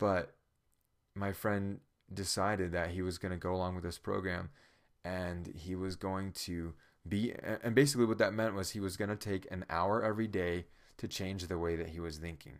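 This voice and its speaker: Very deep and low, a man's voice moves at a moderate pace with fairly even intonation. The recording is very clean with a silent background. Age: 30s. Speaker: preacher and podcaster. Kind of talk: devotional monologue. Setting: at home in his room.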